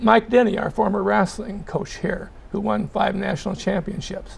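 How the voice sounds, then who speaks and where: A man speaks fairly quickly. Background noise is noticeable throughout. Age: 70s. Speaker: retired journalist and journalism teacher. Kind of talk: interview. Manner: halting.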